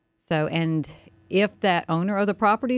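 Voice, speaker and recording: A woman speaks with a Southern US accent, medium pitch and ordinary pitch variation. The sound is dry and close with no echo, in a very clean recording with a silent background. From US South, North Carolina. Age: 50s. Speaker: county commissioner. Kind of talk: radio interview. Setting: studio.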